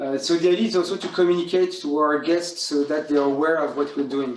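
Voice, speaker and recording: A fairly high-pitched man with a French accent, at a fairly quick pace. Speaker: hotel school general manager. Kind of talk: guided tour. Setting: hotel room.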